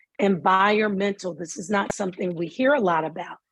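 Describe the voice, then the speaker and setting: In a Southern US accent, the voice sounds somewhat breathy, with ordinary pitch variation. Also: woman. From US South. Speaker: mental health speaker. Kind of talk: lecture. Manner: slow; animated.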